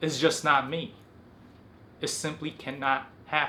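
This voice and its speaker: A man's flat, monotone delivery. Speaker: self-improvement video host. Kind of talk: motivational talk to camera. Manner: articulate, enunciating every syllable.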